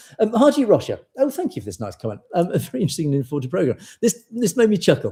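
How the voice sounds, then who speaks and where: This man has a dark, mellow tone that is somewhat breathy, with lively intonation. The recording is very clean, with a silent background. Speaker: news show host. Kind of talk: live show reading viewer comments. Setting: live stream. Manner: fast at times.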